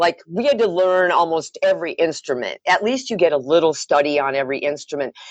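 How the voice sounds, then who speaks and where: An American accent marks this woman's ordinary speaking voice, fairly low in pitch, with lively intonation at a fairly quick pace and hardly any pauses, the sound dry and close with no echo. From US Upper Midwest (Wisconsin). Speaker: massage therapist, former radio worker. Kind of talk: casual chat. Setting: phone call.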